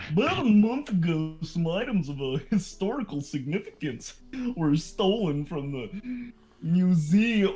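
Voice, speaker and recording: Middle-pitched, fairly slow delivery in a put-on character voice. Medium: game stream.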